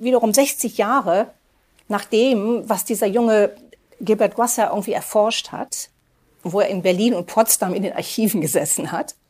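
A woman talks at a moderate pace in a fairly high pitch with ordinary pitch variation. It is an unremarkable speaking voice. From Germany. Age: 60s. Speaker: journalist and author. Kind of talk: interview.

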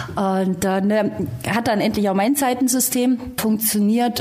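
Noticeable background noise and audible room echo surrounding a female speaker. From rural Germany. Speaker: rally co-driver. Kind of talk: casual interview.

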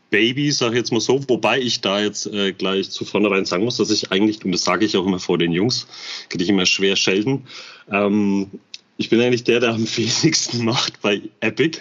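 A man with a plain, everyday voice speaks at a moderate pace, his fairly low pitch showing ordinary variation. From Bamberg, Franconia, Germany. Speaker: construction metalworker, airsoft gear channel member. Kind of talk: casual interview chat. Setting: in person, guest's man cave.

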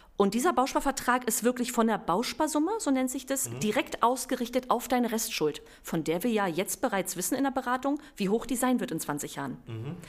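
A woman with a high pitch and lively intonation talks at a fairly quick pace with hardly any pauses. Noticeable background noise runs underneath. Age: 30s. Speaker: bank real estate expert. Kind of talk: podcast interview.

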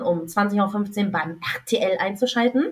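Speaking at a very slow pace, a woman sounds somewhat breathy, her intonation lively. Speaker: podcast co-host. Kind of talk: casual chat.

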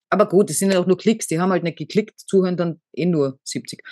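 Fairly quick speech from a woman at medium pitch, with ordinary pitch variation and a dry, close sound with no echo. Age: 50s. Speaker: podcast co-host. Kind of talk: casual chat.

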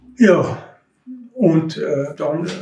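A man is speaking. Audible room echo is present. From Austria, Tyrol (Innsbruck-Mühlau). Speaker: contemporary witness, retired municipal utility worker and mountaineer. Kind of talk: oral history interview. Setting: recorded on location at home in the neighbourhood. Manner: halting.

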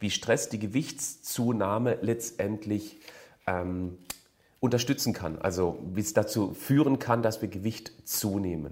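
Very slow delivery from a man, fairly low in pitch, with ordinary pitch variation. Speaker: fitness and nutrition coach. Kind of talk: Q&A advice monologue. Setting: video recording for a channel.

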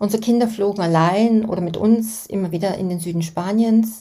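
This woman has a medium-pitched, somewhat breathy voice. Her tone is dark and mellow. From Germany. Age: 60s. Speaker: podcast host. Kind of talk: scripted narration.

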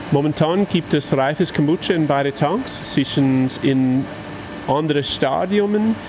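Over noticeable background noise, a man talks very slowly at a very even loudness, his pitch varying an ordinary amount. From Canada. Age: 30s. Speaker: kombucha brewer and company founder. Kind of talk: casual interview. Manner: halting.

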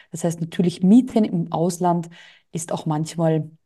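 Her voice is somewhat breathy, with a dark, mellow tone and fairly low pitch. This woman talks at a moderate pace. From Austria. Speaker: entrepreneur and business coach. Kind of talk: interview.

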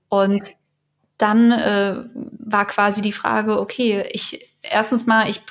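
The woman here has a somewhat breathy, fairly high-pitched voice. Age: 30s. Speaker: patient advocate, works in film industry. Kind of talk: interview testimony. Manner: halting.

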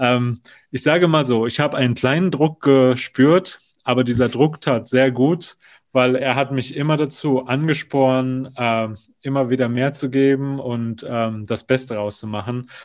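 This man has a plain, everyday voice at a medium pitch, with fairly even intonation. He goes at a fairly slow pace, and his loudness swings widely. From Germany, North Rhine-Westphalia. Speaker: theme park attraction designer. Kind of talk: casual interview.

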